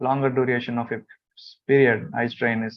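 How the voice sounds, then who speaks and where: At a moderate pace, a man with a non-native accent talks in a medium-pitched, monotone, flat voice. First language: not English. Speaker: corporate trainer. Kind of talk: online training webinar with screen demo. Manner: halting, many fillers.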